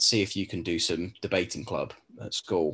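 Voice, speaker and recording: Speaking with an English accent, a man shows ordinary pitch variation. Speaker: law tutor; admissions tutor. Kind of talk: webinar Q&A. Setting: video call. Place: home room. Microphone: webcam.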